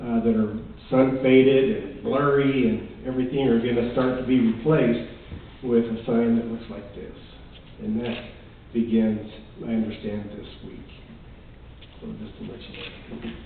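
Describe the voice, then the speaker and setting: A man's flat, monotone speech with long, frequent pauses and audible room echo. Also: medium pitch for a man, moderate pace, big swings in loudness. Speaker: town manager. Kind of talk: council meeting report.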